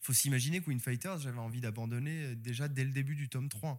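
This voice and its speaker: In a very clean recording with a silent background, a man uses a normal speaking voice at a moderate pace with ordinary pitch variation. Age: 30s. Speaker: manga author. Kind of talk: casual interview. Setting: bookstore.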